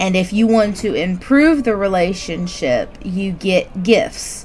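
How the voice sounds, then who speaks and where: Over noticeable background noise, a woman with a Southern US accent talks at a medium pitch with lively intonation. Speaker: gaming streamer. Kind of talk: gameplay commentary.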